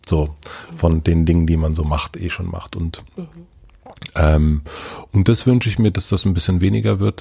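A man with a very deep, low pitch and a calm, somewhat breathy tone speaks at a moderate pace with ordinary pitch variation and long, frequent pauses. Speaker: podcaster. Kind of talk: interview. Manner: hesitant.

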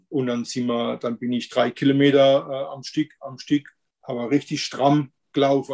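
A man's medium-pitched voice, monotone and flat, with a dry, close sound and no echo. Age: 50s. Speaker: weight-loss coaching client. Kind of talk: interview testimony. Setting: video call. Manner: halting.

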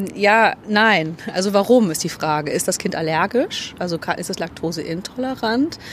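A woman at a medium pitch uses lively intonation and a fairly slow pace with hardly any pauses. Noticeable background noise is present. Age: 30s. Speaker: fitness coach. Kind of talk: interview.

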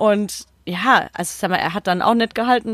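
This is an ordinary speaking voice. Its intonation stays fairly even. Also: woman. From Odenwald, southern Hesse. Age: 20s. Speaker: football podcast co-host and journalist. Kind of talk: casual chat.

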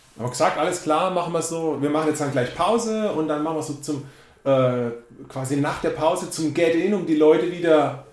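Audible room echo carries a man's lively intonation. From Baden, near Karlsruhe, Germany. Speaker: drummer. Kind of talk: casual interview chat.

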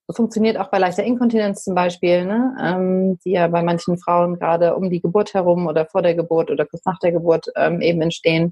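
This is an unremarkable speaking voice moving at a fairly quick pace. The intonation is fairly even, with hardly any pauses. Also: woman, fairly low pitch for a woman. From Berlin, Germany. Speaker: company founder. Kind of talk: podcast interview. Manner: conversational, many fillers.

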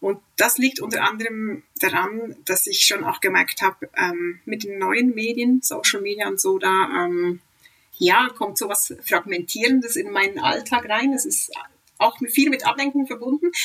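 Fairly slow and fairly high, a woman's voice moves through very wide pitch swings. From Switzerland. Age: 40s. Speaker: avid reader, mother of three. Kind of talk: casual interview chat. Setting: remote internet call.

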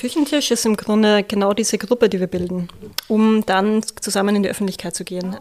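Delivered at a fairly quick clip with fairly even intonation, the speech carries a Viennese accent. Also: woman. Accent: Viennese Austrian German. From Austria, Vienna. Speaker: social worker, project coordinator. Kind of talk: interview.

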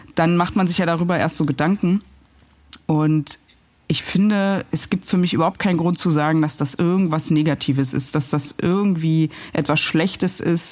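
This woman's pitch is fairly low and her intonation fairly even. She keeps a moderate pace with very even loudness. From East Berlin (Pankow), Germany. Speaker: journalist and TV news presenter. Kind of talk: casual interview over a meal. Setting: at a dining table, eating. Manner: hesitant, many fillers.

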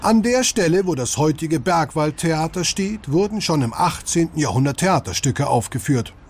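In a normal speaking voice, a man with a fairly high pitch for a man talks at a moderate pace with lively intonation. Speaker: audio tour guide. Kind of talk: scripted audio-guide narration addressing listeners as 'Sie'. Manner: formal, friendly, warm and inviting; even, measured pace, promotional tone.

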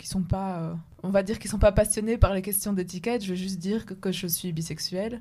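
A woman with a medium-pitched, dark, mellow, somewhat breathy voice speaks at a fairly quick pace with fairly even intonation. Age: 20s. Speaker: podcast co-host. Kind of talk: casual discussion.

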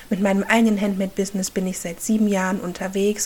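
A woman speaks at a medium pitch in a flat, monotone delivery. Noticeable background noise is present. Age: 30s. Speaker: podcast host and handmade business owner. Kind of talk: solo podcast monologue. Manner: halting.

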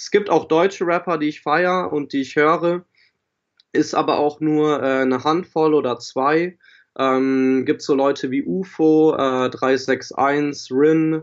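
A man speaks at a very slow pace with ordinary pitch variation. His pitch sits fairly high. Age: 20s. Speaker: rapper and audio production student. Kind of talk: casual interview. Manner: hesitant, many fillers.

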